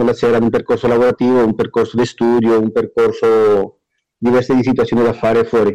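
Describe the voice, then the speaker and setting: A man's medium-pitched voice at a very fast pace. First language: Spanish (speaking Italian). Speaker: prisoner on day release. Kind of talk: interview.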